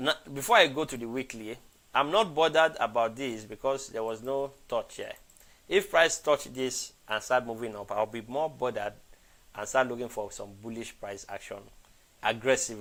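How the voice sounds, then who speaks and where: A man speaks in an ordinary speaking voice at medium pitch and a moderate pace. His pitch variation is ordinary, while his loudness swings widely. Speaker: forex trading educator. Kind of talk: live trading analysis stream. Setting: live stream.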